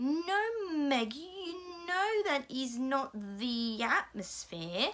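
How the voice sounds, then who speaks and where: A put-on character voice with very wide pitch swings moves at a very slow pace over light background noise. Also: woman, high pitch for a woman. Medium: read story. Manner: commanding, terse.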